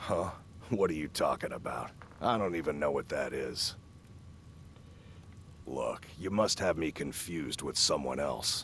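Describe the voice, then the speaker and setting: A raspy man in a put-on character voice, with long, frequent pauses and clear background noise. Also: moderate pace. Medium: video game. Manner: curt, impatient.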